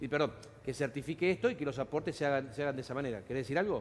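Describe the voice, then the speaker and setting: A fairly high-pitched man's voice with ordinary pitch variation. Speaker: TV host moderating panel on pensions. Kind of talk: panel discussion with viewer questions. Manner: animated, interrupting.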